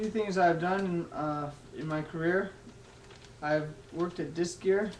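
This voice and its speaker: A man with a high pitch in an American accent, with audible room echo. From Texas. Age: 20s. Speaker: college student. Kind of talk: class speech. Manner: halting.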